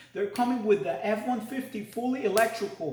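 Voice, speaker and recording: An extremely high-pitched man's voice amid audible room echo and noticeable background noise. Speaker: stock market video host. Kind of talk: casual market commentary to camera. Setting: new home trading studio. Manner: halting, many repetitions and fillers.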